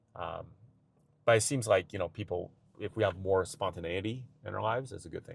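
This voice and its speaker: A man with a fairly low pitch talks at a fairly quick pace, somewhat breathy, with ordinary pitch variation. His loudness swings widely, and he leaves long, frequent pauses. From China. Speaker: podcast guest, father. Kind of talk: casual podcast conversation.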